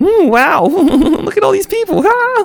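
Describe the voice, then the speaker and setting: A man uses a put-on character voice pitched extremely high. He speaks at a fairly slow pace. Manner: surprised.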